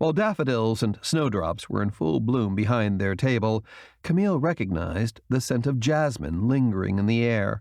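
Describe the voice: Someone does plain reading aloud. Their intonation rises and falls in a lively way.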